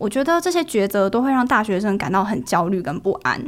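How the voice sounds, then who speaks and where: Lively intonation marks a woman's ordinary speaking voice at a fairly quick pace in a very clean recording with a silent background. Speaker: university student. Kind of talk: podcast interview.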